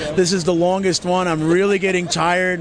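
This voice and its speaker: A high-pitched man at a moderate pace, with crowd noise in the background. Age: 50s. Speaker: comic book artist. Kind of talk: interview. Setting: comic convention.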